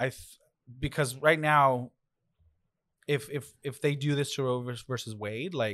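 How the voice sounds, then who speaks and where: A man with a fairly high pitch speaks with ordinary pitch variation and long, frequent pauses. The recording is very clean, with a silent background. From Mexico, raised in US. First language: Spanish. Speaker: podcast co-host. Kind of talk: casual chat. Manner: animated.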